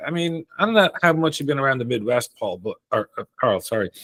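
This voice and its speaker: A man talks at a medium speed, the sound dry and close with no echo. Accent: Dublin. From Ireland, Dublin. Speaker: Irish emigrant interviewee. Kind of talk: casual interview. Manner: conversational, some repetitions and hesitations.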